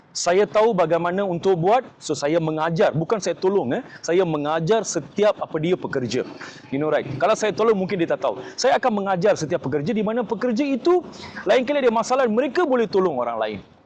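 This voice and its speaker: Very wide pitch swings at a fairly quick pace, over noticeable background noise. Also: man, high pitch for a man. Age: 40s. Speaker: political candidate and activist. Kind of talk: self-introduction interview. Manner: many fillers and hesitations, code-switching.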